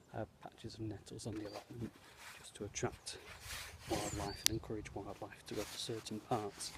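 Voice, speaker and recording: A soft-spoken man talks at a fairly quick pace with an English accent. His fairly low voice stays monotone and flat. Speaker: scout leader. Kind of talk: video tour. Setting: outdoors.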